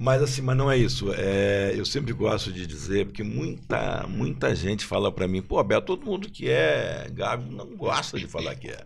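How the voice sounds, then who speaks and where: At a moderate pace and with hardly any pauses, a man speaks with big swings in loudness in audible room echo. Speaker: marketing executive, former football club marketing director. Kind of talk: podcast panel discussion.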